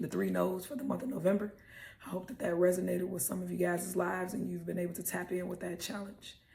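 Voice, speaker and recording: Speaking at a very fast pace, a woman uses an animated tone amid audible room echo. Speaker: motivational podcast host. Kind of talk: motivational talk. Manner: casual, animated.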